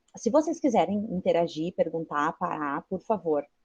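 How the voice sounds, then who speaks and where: A woman's somewhat breathy voice. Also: dry, close sound with no echo. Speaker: teacher and researcher. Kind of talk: guest talk to a class.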